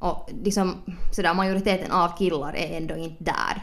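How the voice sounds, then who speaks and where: There is audible room echo around a woman's voice. She speaks at a moderate pace with a fairly low pitch. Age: 20s. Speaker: podcast host. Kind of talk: casual chat. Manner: animated.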